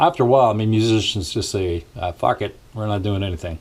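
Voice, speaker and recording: Somewhat breathy speech at a moderate pace. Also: man. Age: 60s. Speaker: musician and vlogger. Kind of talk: casual vlog rant. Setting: small home studio. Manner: hesitant, many fillers.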